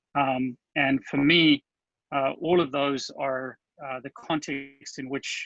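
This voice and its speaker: A man with a South African accent speaks at a very slow pace and a fairly high pitch. His tone is bright and sharp, and the sound is dry and close with no echo. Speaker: agile coach. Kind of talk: conference talk. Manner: halting, many fillers.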